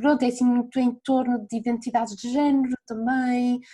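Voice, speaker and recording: A woman speaks with a high-pitched voice. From northern Portugal. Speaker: music journalist. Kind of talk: casual chat.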